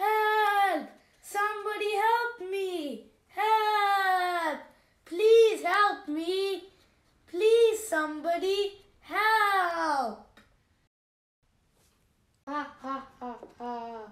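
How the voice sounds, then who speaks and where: A woman's put-on character voice, extremely high and raised, projected, at a very slow pace with long, frequent pauses. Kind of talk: storytelling for children.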